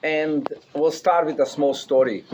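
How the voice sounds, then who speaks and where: A man with a non-native accent speaks at a fairly high pitch over noticeable background noise. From Russia. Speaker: rabbi, keynote speaker. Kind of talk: speech to a gathering, storytelling.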